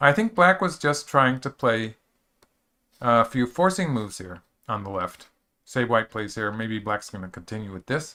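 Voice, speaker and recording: A man speaks at a moderate pace and medium pitch, bright and sharp in tone with lively intonation. The recording is very clean, with a silent background. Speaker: go professional commentator. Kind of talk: live game commentary. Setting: live stream. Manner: slurs words a bit; casual, hesitant with fillers.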